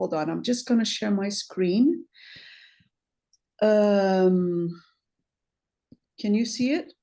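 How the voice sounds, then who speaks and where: Against a quiet background, a woman with a medium pitch and a dark, mellow tone speaks at a very slow pace with lively intonation. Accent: Portuguese. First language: Portuguese. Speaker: sociology researcher. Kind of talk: academic presentation. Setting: video call. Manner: halting.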